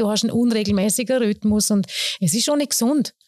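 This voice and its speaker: A woman's fairly high voice, very fast, dry and close with no echo. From Austria, Vorarlberg (Lustenau). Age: 40s. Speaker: soul singer and vocal teacher. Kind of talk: casual interview. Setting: piano room at jazz school.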